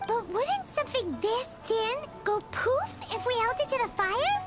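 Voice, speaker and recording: A put-on character voice at an extremely high pitch talks at a moderate pace. Music plays clearly in the background. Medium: game stream. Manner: excitable, cheeky.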